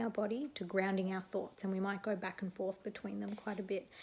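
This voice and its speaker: A woman speaks with an Australian accent. She is soft-spoken, with monotone, flat intonation. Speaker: neuropsychologist; animal activism advocate. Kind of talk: casual talk to camera. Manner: quiet, soft-spoken.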